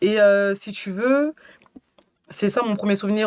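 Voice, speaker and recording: A woman at a medium pitch, moderate in pace, with ordinary pitch variation. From France, Cameroonian family. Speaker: writer and workshop leader. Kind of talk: casual interview chat. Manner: hesitant, many fillers.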